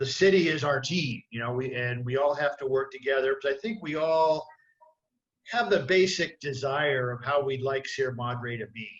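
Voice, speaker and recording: With a plain, everyday voice, a man speaks at a moderate pace in a fairly high pitch, with ordinary pitch variation. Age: 60s. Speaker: city council candidate. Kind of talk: candidate forum self-introduction. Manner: many fillers, casual.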